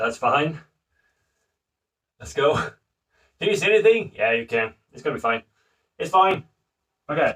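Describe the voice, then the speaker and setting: A man with a fairly high voice speaks at a moderate pace, his pitch swinging very widely and his loudness shifting a lot, with long, frequent pauses. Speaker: home brewer streaming live. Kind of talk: casual livestream tutorial while bottling beer. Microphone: phone microphone.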